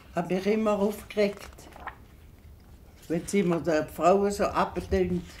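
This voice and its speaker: The woman's intonation stays fairly even. Her pace is very slow. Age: 80s+. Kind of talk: documentary interview answer.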